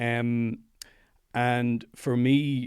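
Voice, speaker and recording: The speaker talks with an Irish accent in monotone, flat intonation. The recording is very clean, with a silent background. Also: man. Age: 50s. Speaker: psychologist and meditation teacher. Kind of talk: interview.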